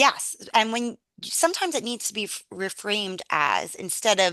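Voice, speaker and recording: Loud and bright with a sharp tone, a woman speaks at a moderate pace in a dry, close sound with no echo over a quiet background. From New York City. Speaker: university teaching and faculty development director. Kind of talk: conference Q&A. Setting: video call.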